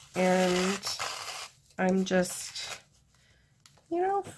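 Noticeable background noise sits under a woman speaking at a very slow pace. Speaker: artist. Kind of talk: tutorial. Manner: low-energy.

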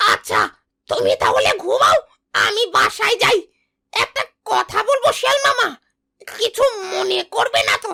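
This cartoonish character voice has an extremely high pitch and a fairly slow pace. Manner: eager, obsequious.

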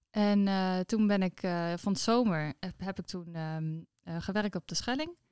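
A woman speaks with ordinary pitch variation. The sound is dry with no echo, and the background is quiet. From Netherlands, Friesland (Noordwolde); Friesland. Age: 30s. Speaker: entrepreneur; guest. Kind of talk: interview. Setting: at her business premises. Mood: warm, relaxed. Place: office. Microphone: studio mic.

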